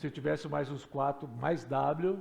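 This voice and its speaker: In a room with audible echo, a man speaks at a fairly slow pace with a fairly high pitch. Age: 60s. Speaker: pastor. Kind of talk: sermon. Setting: church.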